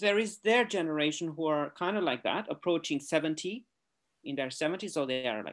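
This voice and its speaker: Recorded very cleanly against a silent background, a man with a Romanian accent talks at a fairly quick pace, his fairly high pitch moving in very wide swings. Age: 40s. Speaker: artist. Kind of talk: interview. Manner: halting.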